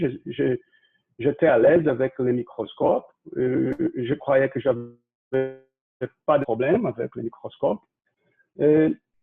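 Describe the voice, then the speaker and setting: Speaking very slowly with a Brazilian accent, a man shows ordinary pitch variation. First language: Portuguese (speaking French). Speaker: ear surgeon. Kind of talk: lecture. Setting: video call. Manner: halting.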